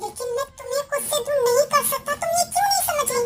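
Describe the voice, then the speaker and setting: A woman uses a squeaky put-on character voice at a fairly quick pace, with clear music in the background. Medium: fan dub. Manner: intense, emotional.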